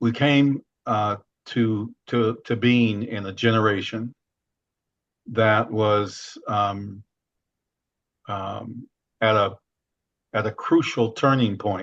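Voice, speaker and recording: Against a quiet background, a man talks very slowly with an American accent and long, frequent pauses. His medium-pitched voice is monotone, with flat intonation. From US Midwest, Chicago then Seattle. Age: 70s. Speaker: diversity consultant and author. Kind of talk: personal storytelling. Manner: halting with many fillers.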